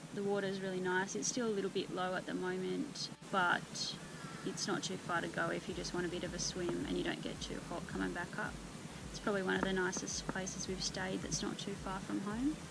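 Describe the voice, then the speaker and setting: Fairly quick female speech beneath loud background noise. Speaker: camper reviewing campsites. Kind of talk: casual vlog chat. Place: open country. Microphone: camera far.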